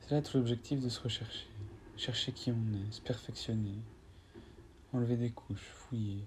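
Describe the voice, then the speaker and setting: A man's somewhat breathy voice at a medium pitch, monotone and flat, at a fairly slow pace with long, frequent pauses. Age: 20s. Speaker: spiritual podcaster. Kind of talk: improvised spiritual monologue with guided breathing. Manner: halting, repeats words.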